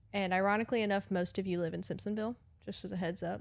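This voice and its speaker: A woman speaks very fast in a Southern accent. Her pitch is medium and her intonation fairly even. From US South. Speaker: customer service manager. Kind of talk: casual chat.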